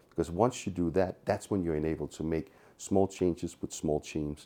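In a Danish accent, a man speaks at a very deep, low pitch with a dark, mellow tone, a fairly quick pace and ordinary pitch variation. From Denmark, Copenhagen. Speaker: tech company co-founder. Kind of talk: interview. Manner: animated.

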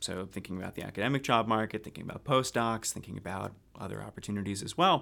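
A man with an American accent speaks fairly quickly in a fairly low pitch, in an ordinary speaking voice. The recording is very clean, with a silent background. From US, South Jersey near Philadelphia. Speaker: health care quality researcher. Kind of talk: interview.

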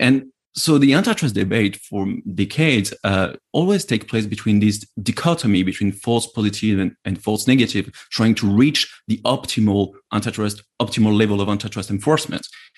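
A man speaks in a plain, everyday voice with fairly low pitch, ordinary pitch variation and a moderate pace over a quiet background. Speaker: antitrust scholar. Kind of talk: panel discussion. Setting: webinar.

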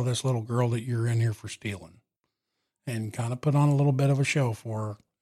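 A man with an American accent talks at a very fast pace with a medium pitch, ordinary pitch variation and a somewhat breathy voice on a very clean recording with a silent background. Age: 40s. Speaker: truck driver and former police chief. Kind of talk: interview conversation. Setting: studio.

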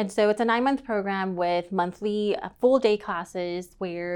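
Over a quiet background, a woman with an American accent talks at a moderate pace. She has an unremarkable speaking voice and fairly even intonation. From East Texas, Tyler. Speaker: accountant. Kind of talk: casual interview.

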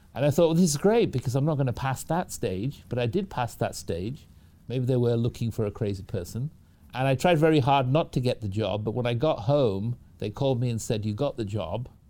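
A man with a British accent and a dark, mellow tone, medium pitch, lively intonation and a fairly quick pace, on a very clean recording with a silent background. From northern England (Manchester). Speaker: hospital technology executive and physician. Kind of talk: interview.

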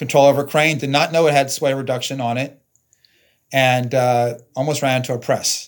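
A man with a plain, everyday voice, fairly high in pitch, at a fairly quick pace with fairly even intonation, on a very clean recording with a silent background. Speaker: company president, sensor maker. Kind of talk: casual interview discussion.

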